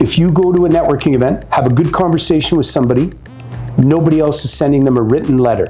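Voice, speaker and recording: An animated man with a fairly high pitch at a very fast pace, with music in the background and audible room echo. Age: 60s. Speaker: networking expert. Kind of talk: interview advice chat.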